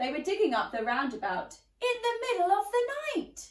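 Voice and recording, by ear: The pitch swings widely at a moderate pace. Room echo is audible. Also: woman, extremely high pitch for a woman.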